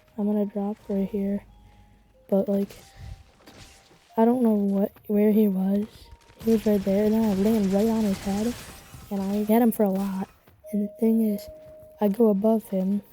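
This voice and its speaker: With noticeable background noise behind it, the speech runs at a moderate pace in monotone, flat intonation broken by long, frequent pauses. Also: woman, medium pitch for a woman. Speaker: gaming youtuber. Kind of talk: gameplay commentary voiceover. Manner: stuttering at times. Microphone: quiet voice, game audio loud over it.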